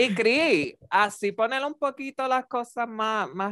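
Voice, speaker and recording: A man is recorded with a dry, close sound with no echo against a quiet background. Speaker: podcast co-host. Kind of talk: casual chat. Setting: remote recording. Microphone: new microphone with headphones.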